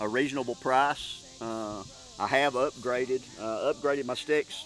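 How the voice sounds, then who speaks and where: Music plays behind a man who talks at a fairly slow pace, at medium pitch with ordinary variation. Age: 60s. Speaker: deer hunter. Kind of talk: casual chat. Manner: halting.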